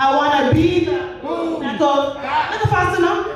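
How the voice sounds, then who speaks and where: A woman with a high pitch and ordinary pitch variation talks over noticeable background noise. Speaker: spoken word poet. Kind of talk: spoken word poetry performance. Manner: emotional, powerful.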